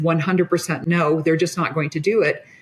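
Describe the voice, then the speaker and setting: This woman has an ordinary speaking voice, fairly low in pitch, with fairly even intonation and an American accent. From US Midwest. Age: 60s. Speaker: physician. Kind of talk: casual chat.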